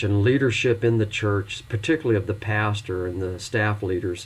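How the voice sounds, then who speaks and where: At a moderate pace, a man with an ordinary speaking voice and fairly low pitch talks with fairly even intonation. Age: 60s. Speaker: pastor and instructor. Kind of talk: recorded lecture for online course.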